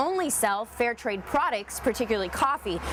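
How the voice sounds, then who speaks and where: Here a woman speaks in a fairly high voice at a fairly quick pace. There is noticeable background noise. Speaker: news anchor and reporter. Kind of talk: studio news anchor read.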